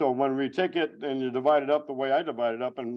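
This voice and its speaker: With an American accent, a man speaks at a medium pitch. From Arizona. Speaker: utility vegetation management superintendent. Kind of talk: presentation. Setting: board meeting room, streamed via video call. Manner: loud; animated.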